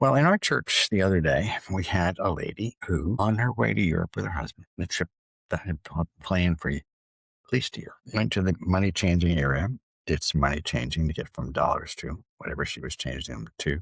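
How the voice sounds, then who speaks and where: A man with a very deep, low pitch and vocal fry talks at a fairly quick pace, his pitch swinging very widely. The recording is very clean and dry, close with no echo, over a silent background. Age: 70s. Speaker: financial planner. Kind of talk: casual monologue.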